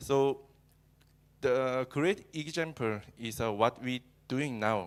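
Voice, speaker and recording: A man talks with a Korean accent. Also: very clean recording, silent background. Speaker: cloud engineer and user group organizer. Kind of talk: conference talk. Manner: halting, many fillers.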